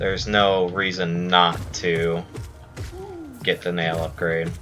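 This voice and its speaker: Over music in the background and audible room echo, a man with a very deep, low pitch speaks very slowly in a monotone, flat intonation. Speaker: video game streamer. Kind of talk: gameplay commentary. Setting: live stream.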